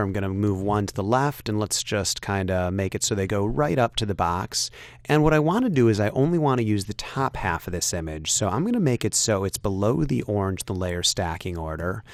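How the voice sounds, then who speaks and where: A plain, everyday voice with lively intonation, on a very clean recording with a silent background. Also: man. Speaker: software tutorial instructor. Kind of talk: tutorial. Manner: casual with many fillers.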